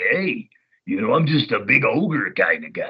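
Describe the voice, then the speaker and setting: A put-on character voice with a fairly high pitch, delivered at a moderate pace. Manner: dumb, goofy.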